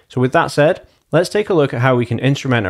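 The background is quiet as a man speaks. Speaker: presenter. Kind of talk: tutorial. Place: home room. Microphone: studio mic.

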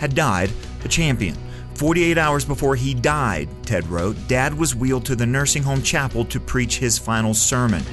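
Music plays behind the speaker. He is a man moving at a moderate pace. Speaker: radio commentator / host. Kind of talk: short radio commentary script read.

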